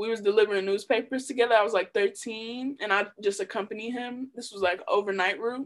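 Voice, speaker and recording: A woman's normal speaking voice with an American accent, fairly high pitch, and fairly even intonation, at a fairly quick pace with hardly any pauses. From Chicago. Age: 20s. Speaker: rapper. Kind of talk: casual chat.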